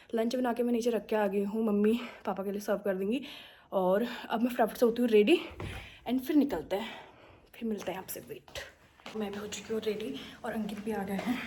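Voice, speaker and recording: A woman talks at a fairly quick pace. Her voice has a dark, mellow tone and fairly high pitch. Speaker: family vlogger. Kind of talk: casual vlog talk. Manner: chatty, animated.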